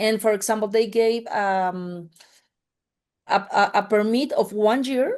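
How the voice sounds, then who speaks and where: Over a quiet background, a woman with a Spanish accent and fairly high pitch speaks at a fairly slow pace with very even loudness, fairly even intonation and long, frequent pauses. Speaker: mining industry representative. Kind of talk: panel podcast discussion. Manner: halting, many fillers.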